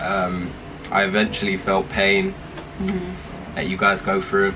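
A man talks at a fairly slow pace, with noticeable background noise behind him. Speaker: younger brother, video guest. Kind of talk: casual talk to camera. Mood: playful, sheepish apology. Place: home room.

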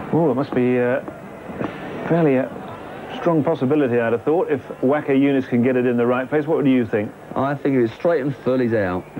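A man's speech with long, frequent pauses, ordinary pitch variation and very even loudness, amid noticeable background noise. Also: medium pitch for a man, fairly quick pace. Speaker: cricket commentator. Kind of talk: live cricket commentary, summary. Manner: relaxed, conversational.

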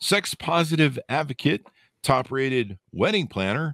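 A man speaks at a moderate pace with very wide pitch swings and vocal fry. The background is quiet. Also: dry sound with no echo. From Las Vegas. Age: 50s. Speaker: podcast host. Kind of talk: casual interview chat. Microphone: studio mic.

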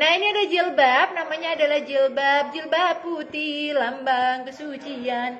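A woman with a high pitch and ordinary pitch variation speaks at a fairly slow pace with hardly any pauses, over light background noise. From Indonesia. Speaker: online clothing seller. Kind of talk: live-stream sales pitch rattling off product codes, sizes and prices to viewers. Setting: live stream. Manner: chummy and gushing, constantly calling viewers dear and mom. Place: shop. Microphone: phone near.

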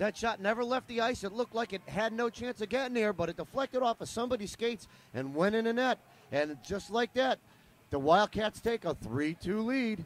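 Talking at a fairly quick pace, a man with a high pitch uses an animated tone and lively intonation in a dry sound with no echo. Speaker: sports commentator. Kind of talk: live commentary. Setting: arena. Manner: fast, steady play-by-play delivery; animated, rising on goals. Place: stadium.

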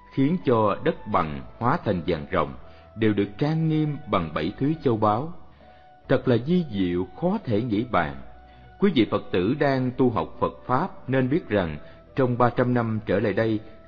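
Music plays behind a man speaking at a medium pitch. His loudness stays very even while his pitch swings very widely. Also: fairly slow pace. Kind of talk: Buddhist story and dharma talk narration.

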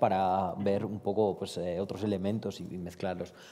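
Dark and mellow in tone, a man with a fairly low pitch talks at a fairly quick pace with fairly even intonation. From Romania. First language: Romanian (speaking Spanish). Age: 30s. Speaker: poet. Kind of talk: panel discussion. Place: hall. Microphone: headset.

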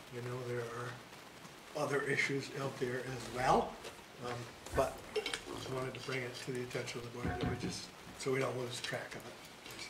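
A man keeps a moderate pace while loud background noise runs beneath his words. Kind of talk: meeting discussion. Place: meeting room. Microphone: podium.

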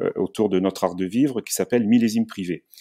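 Dark and mellow in tone, a man speaks at a fairly quick pace and a fairly low pitch. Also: very clean recording, silent background. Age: 50s. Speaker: tourism entrepreneur. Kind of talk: interview. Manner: halting, many fillers.

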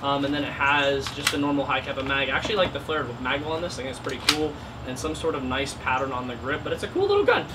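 A man rattles along at a very fast pace while loud background noise plays. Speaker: airsoft youtuber. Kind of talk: casual vlog chat. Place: garage.

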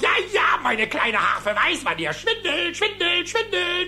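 Faint music plays behind a man doing a cartoonish character voice, extremely high in pitch and bright and sharp in tone, with big swings in pitch. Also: fairly slow pace.

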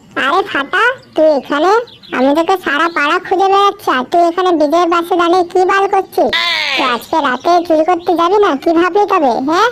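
A woman does a cartoonish character voice at an extremely high pitch and a moderate pace, with very even loudness. Background noise is clearly audible.

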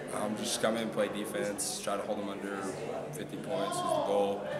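A man speaks at a moderate pace while loud noise fills the background. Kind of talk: interview answer. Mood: calm, pleased after win. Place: hall.

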